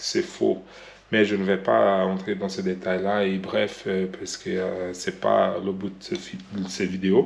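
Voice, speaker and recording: In a Brazilian accent, a man is speaking. He goes at a very slow pace. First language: Portuguese (speaking French). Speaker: vlogger. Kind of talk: vlog monologue. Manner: halting, many hesitations.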